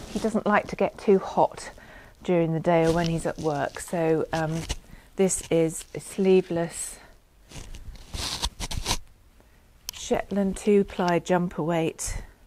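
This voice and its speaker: Very slow speech with long, frequent pauses and fairly even intonation comes through dry, with no echo, over noticeable background noise. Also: woman, fairly low pitch for a woman. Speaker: knitting podcaster. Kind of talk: casual vlog chat. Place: home room. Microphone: lapel.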